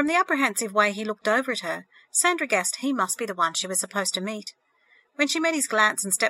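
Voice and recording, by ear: The speaker reads aloud in a natural voice, intonation lively, with a quiet background.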